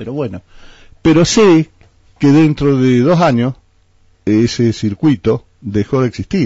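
A man speaks at a very slow pace with long, frequent pauses and lively intonation. The background is quiet and the sound is dry with no echo. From Argentina, San Luis province (Villa Mercedes). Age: 60s. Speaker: politician. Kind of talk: radio interview. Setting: radio studio. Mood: critical, indignant. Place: studio. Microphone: studio mic.

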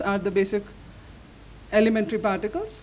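Light background noise behind a woman's voice. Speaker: speaker. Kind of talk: lecture.

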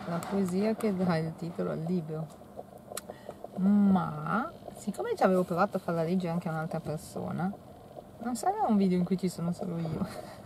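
The voice holds a fairly even intonation at a moderate pace, broken by long, frequent pauses. The sound is dry with no echo, though noticeable background noise is present. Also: woman, fairly low pitch for a woman. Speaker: truck driver. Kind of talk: casual talk to camera. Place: car. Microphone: phone near.

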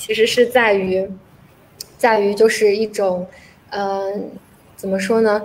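A woman's voice over light background noise. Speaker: guest. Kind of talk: panel discussion. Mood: reflective, self-examining.

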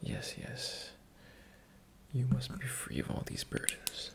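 A man's whisper. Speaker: roleplay host. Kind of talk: soft-spoken ASMR roleplay. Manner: soft, hushed ASMR voice. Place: home room. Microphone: webcam.

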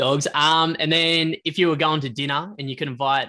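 Speaking with an Australian accent, a man keeps a moderate pace. His tone is bright and sharp. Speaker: podcast co-host. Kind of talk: casual chat.

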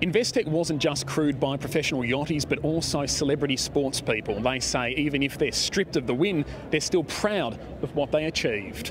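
With an Australian accent, a man talks at a fairly quick pace in a fairly high voice with ordinary pitch variation and very even loudness, the sound dry with no echo but some noticeable background noise. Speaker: news reporter. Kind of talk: packaged news report narration. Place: waterside. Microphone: handheld.

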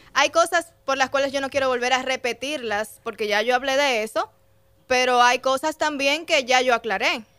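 A woman speaks in a high, bright, sharp voice at a moderate pace. Her pitch varies in an ordinary way against a quiet background. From Dominican Republic, Puerto Plata; Dominican Republic. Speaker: radio host. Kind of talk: casual chat. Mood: firm, explanatory. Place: studio. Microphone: studio mic.

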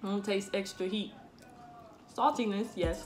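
At a moderate pace, a woman talks while clear music runs in the background. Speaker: food taste-test vlogger. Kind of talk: casual vlog chat. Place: home room. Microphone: phone near.

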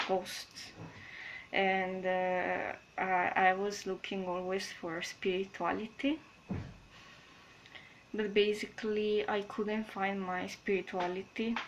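In a strong non-native accent, a woman speaks at a very slow pace with monotone, flat intonation and long, frequent pauses over light background noise. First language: not English. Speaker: spiritual vlogger. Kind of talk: casual talk to camera. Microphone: webcam.

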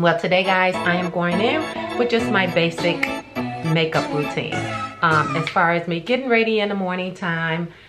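Clear music plays in the background as a woman talks at a moderate pace. She leaves long, frequent pauses. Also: ordinary pitch variation. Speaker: beauty vlogger. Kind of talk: casual vlog chat. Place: home room. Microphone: phone near.

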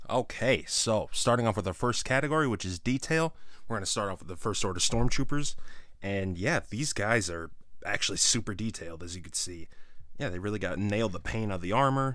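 A normal speaking voice with lively intonation, dry sound without echo, and a quiet background. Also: man, fairly low pitch for a man, fairly quick pace. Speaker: toy reviewer. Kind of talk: casual product review commentary. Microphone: phone near.

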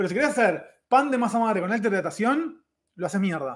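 Against a quiet background, a man with a Rioplatense accent speaks in a high pitch with lively intonation. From Argentina. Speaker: chef and YouTuber; YouTuber. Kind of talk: live stream chat. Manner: casual, fast. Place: kitchen. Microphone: webcam.

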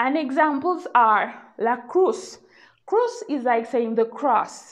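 A woman is talking. She speaks with lively intonation. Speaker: language teacher. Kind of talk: language lesson.

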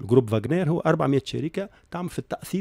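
Very fast speech in a dark, mellow tone comes with ordinary pitch variation and a dry sound with no echo. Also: man, quiet background. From Tunisia. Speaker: accountant and university professor; university professor. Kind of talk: radio interview. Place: studio. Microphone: studio mic.

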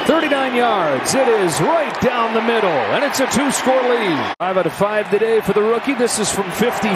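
Pitched high, a man talks with an energetic tone at a moderate pace, with hardly any pauses and very even loudness. The sound is dry with no echo, though loud background noise is present. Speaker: play-by-play announcer. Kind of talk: live play-by-play commentary. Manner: energetic, staccato delivery. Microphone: headset.

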